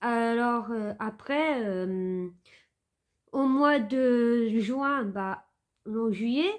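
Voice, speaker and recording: In a very clean recording with a silent background, a woman speaks very slowly at a fairly high pitch with ordinary pitch variation, leaving long, frequent pauses. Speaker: vlogger. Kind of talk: casual storytime vlog. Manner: halting, many fillers.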